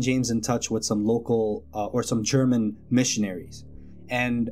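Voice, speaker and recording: Music runs in the background. Over it, a man speaks at a moderate pace. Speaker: storyteller. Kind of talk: casual true-story narration. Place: home room. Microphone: studio mic.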